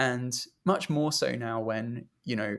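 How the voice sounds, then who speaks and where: A man speaks at a medium pitch. His voice carries vocal fry. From Britain. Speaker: music journalist and podcast host. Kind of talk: interview conversation. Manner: casual, many fillers.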